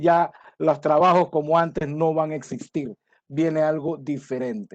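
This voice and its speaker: Speaking at a fairly slow pace with fairly even intonation, a man uses an ordinary speaking voice pitched fairly high. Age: 60s. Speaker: conference speaker on supply chain. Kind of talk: lecture. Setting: webinar from home.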